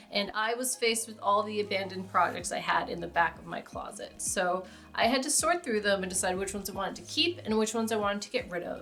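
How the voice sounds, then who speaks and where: A woman's fairly high voice at a fairly quick pace, over noticeable background noise. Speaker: crafter. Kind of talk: casual talk to camera.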